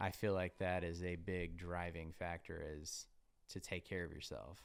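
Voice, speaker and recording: Very deep and low, a man's voice stays monotone with flat intonation. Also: moderate pace. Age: 30s. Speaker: podcast host. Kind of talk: casual chat. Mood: earnest, reflective. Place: studio. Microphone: studio mic.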